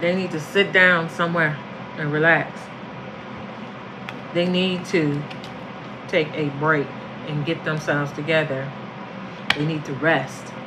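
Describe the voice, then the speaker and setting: Noticeable background noise sits under fairly slow speech broken by long, frequent pauses. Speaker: tarot reader. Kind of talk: tarot reading monologue. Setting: at home, apartment.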